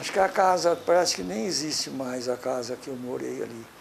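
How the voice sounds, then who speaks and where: The man's intonation is lively. Noticeable background noise is present. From Brazil, interior of São Paulo state. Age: 70s. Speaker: local elder giving historical testimony. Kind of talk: oral history interview. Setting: at his home. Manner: halting, with self-corrections.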